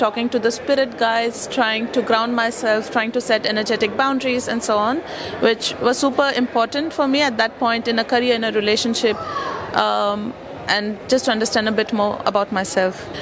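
Over noticeable background noise, a woman speaks at a fairly quick pace with a fairly high pitch, fairly even intonation and very even loudness. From India. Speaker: customer testimonial speaker; speaker. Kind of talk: testimony. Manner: halting. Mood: reflective, earnest. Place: hall. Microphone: handheld.

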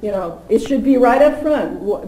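Audible room echo, a moderate tempo and ordinary pitch variation. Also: woman. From Massachusetts (Stoneham, near Boston); Massachusetts. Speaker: policy advocate at a nonprofit; presenter. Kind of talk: public talk at a forum. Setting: forum with live audience. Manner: halting, many fillers and repeats. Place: meeting room. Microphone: podium.

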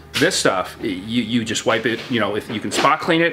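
Music plays in the background as a man speaks at a fairly quick pace. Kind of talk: interview answer. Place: factory. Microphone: camera far.

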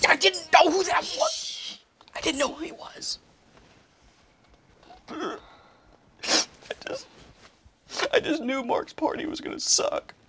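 A woman whispers in a put-on character voice. She goes slowly, with long, frequent pauses.

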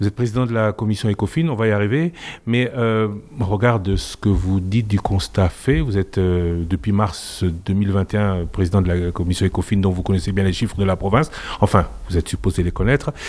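Speaking at a fairly quick pace, a man with a fairly low pitch, ordinary pitch variation and a slightly mellow tone is heard.

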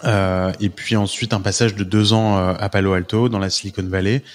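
Here a man talks with a fairly low pitch and fairly even intonation. His pace is fairly slow. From France, Paris. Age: 30s. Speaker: entrepreneur and investor. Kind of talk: podcast interview. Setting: remote call. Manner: hesitant, many fillers.

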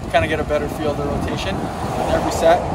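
Heavy noise in the background is loud throughout. Through it, a man talks. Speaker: professional surfer vlogger. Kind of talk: casual vlog chat. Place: street. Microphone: phone near.

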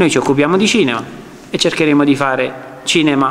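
A man with an unremarkable speaking voice talks at a fairly quick pace, his fairly high pitch held in fairly even intonation. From Naples, Ponticelli; Naples. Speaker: film director. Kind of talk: public speech. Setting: public presentation with audience. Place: meeting room. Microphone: podium.

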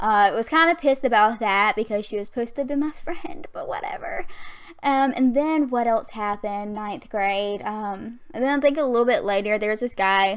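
A woman talks with a Southern US accent against a quiet background. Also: lively intonation, fairly quick pace. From Southern US (Alabama). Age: 20s. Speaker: gaming youtuber. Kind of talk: casual gaming voiceover, storytime. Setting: home USB mic. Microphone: studio mic.

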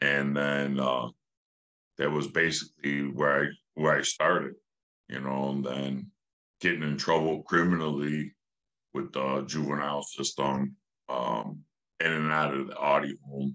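Over a quiet background, a man with a very deep, low pitch and a bright, sharp tone speaks at a fairly slow pace in a monotone, flat intonation, leaving long, frequent pauses. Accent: Chicago. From Cicero, Illinois (Chicago area); Illinois. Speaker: former gang member; podcast guest. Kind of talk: interview. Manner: casual, frequent fillers. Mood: calm, reflective storytelling. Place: home room. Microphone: video call.

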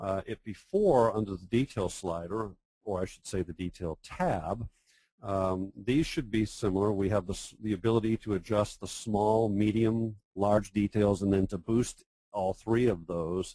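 Speaking at a fairly slow pace, a man uses a fairly low pitch and a dark, mellow tone. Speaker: professional photographer. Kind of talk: webinar tutorial. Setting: online webinar with screen share. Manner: enthusiastic.

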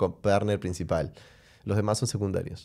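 A dark, mellow tone sits over a quiet background. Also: man. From Peru. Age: 30s. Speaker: podcast host; podcast host or guest. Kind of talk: casual chat. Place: studio. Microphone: studio mic.

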